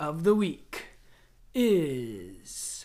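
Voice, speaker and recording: A man is doing a put-on character voice. He pitches it high. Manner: put-on announcer voice.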